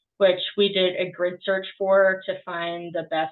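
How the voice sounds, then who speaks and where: This woman has a slight Boston accent and a fairly low pitch. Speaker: student. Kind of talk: class project presentation and code walkthrough. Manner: halting, many filler ums.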